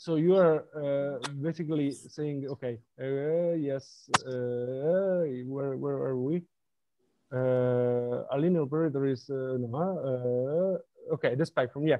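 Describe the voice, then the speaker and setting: Fairly high in pitch, a man talks at a very slow pace with fairly even intonation. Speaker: mathematics seminar speaker. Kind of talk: academic seminar Q&A. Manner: halting, many fillers.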